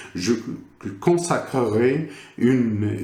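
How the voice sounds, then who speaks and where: A voice with a slight Moroccan accent is heard with audible room echo. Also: man. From Morocco. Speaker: teacher trainer / educational supervisor. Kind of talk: lecture. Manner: halting, many hesitations.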